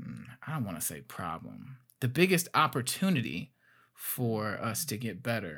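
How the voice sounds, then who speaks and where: Very wide pitch swings and vocal fry come through in a very clean recording with a silent background. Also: man. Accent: American. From Gary, Indiana. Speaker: podcast host. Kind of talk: interview. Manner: halting, many fillers and repeats.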